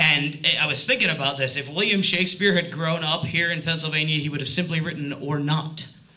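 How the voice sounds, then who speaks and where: Over noticeable background noise and audible room echo, a man talks with an American accent at a fairly high pitch. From New York area. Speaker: stand-up comedian. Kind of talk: stand-up. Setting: stage with audience. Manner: loud.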